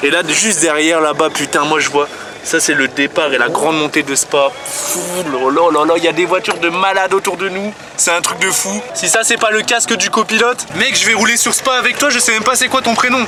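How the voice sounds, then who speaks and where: Delivered at a fairly quick pace, the speech has an animated tone and lively intonation, with noticeable background noise behind it. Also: man, high pitch for a man. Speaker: vlogger. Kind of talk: casual vlog. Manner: fast.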